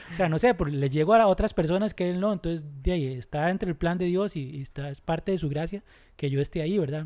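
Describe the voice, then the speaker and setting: Speaking at a very fast pace, a man has a high pitch, a dark, mellow tone and ordinary pitch variation. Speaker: youth pastor. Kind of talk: casual chat.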